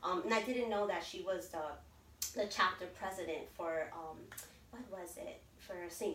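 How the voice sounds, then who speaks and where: A woman's medium-pitched voice, with ordinary pitch variation, is heard amid noticeable background noise. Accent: American. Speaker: DACA recipient and pastor. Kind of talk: interview. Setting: in person.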